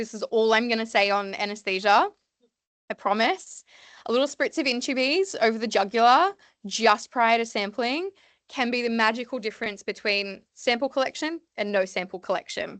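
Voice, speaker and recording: Intonation is lively and the pace moderate. The sound is dry and close with no echo, over a quiet background. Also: woman, fairly high pitch for a woman. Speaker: veterinary nurse. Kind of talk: seminar lecture. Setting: evening seminar with audience. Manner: loud, lots to say.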